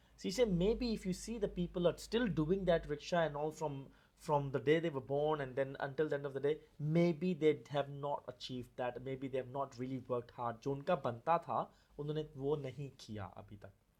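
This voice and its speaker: This man's voice is somewhat breathy. Its pitch is fairly high. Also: ordinary pitch variation, moderate pace. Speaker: podcast host. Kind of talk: podcast interview talk.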